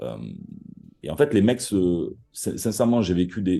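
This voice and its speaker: Someone speaks with a strong Marseille accent over music in the background. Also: man. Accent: thick Marseille. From Marseille, southern France. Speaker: copywriter. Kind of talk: podcast interview. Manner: halting, many repetitions and fillers; animated.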